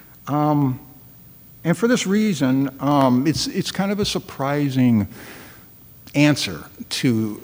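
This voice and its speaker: This man's pitch swings very widely. He talks at a fairly slow pace. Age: 60s. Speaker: lay Buddhist practitioner giving a talk. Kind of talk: dharma talk. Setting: temple hall with audience. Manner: halting with many fillers and repetitions.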